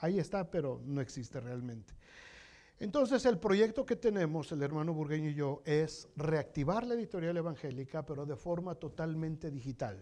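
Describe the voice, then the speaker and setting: A man with a dark, mellow tone speaks in lively intonation. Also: fairly high pitch for a man, moderate pace. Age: 60s. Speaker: pastor. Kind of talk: sermon. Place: church. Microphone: lapel.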